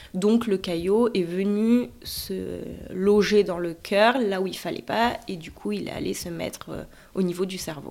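Speaking very slowly at a medium pitch, a woman shows ordinary pitch variation and big swings in loudness. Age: 30s. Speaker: stroke survivor, radiology technician, mother. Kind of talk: personal testimony. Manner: halting, many hesitations.

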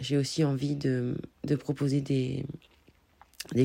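A woman's very deep, low voice, somewhat breathy, dark and mellow in tone, with monotone, flat intonation. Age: 30s. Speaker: podcaster and life coach. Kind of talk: personal monologue podcast. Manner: hesitant with fillers.

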